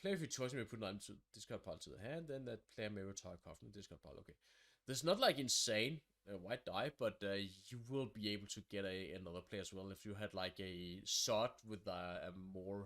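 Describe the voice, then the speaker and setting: A man with a Danish accent speaks at a fairly quick pace. His pitch is fairly low, with ordinary pitch variation. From Denmark. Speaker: board game reviewer. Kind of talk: game overview, thinking aloud. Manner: halting.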